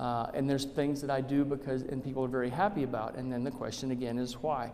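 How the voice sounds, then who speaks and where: A man with an American accent speaks at a fairly quick pace and a fairly high pitch. Audible room echo and noticeable background noise fill the recording. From Arizona, Tucson. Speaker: state legislator. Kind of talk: public talk.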